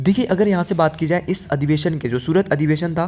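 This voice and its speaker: A man in a normal speaking voice, fairly high-pitched, with ordinary pitch variation and a moderate pace. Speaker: exam-prep teacher. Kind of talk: lecture.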